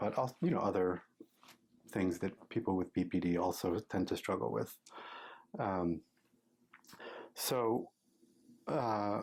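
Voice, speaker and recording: A man with an American accent speaks at a fairly slow pace in a very deep, low pitch, with very even loudness and long, frequent pauses, in a very clean recording with a silent background. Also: ordinary pitch variation. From US Midwest, Michigan. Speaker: psychology professor and researcher. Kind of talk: interview. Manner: halting, many fillers.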